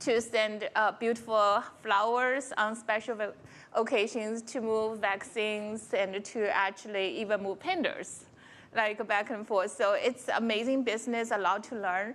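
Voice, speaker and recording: In a Chinese accent, a woman speaks with a fairly high pitch. Her pace is fairly slow and her intonation fairly even. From China. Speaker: corporate technology executive. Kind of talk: conference panel talk.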